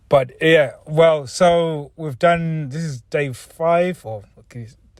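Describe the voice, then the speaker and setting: A man talks very slowly in a somewhat breathy voice. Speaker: podcast host. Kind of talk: tutorial.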